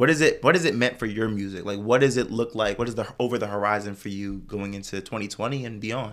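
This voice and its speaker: Talking at a very fast pace with hardly any pauses, a man keeps a medium pitch and ordinary pitch variation. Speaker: podcast host. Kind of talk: casual chat.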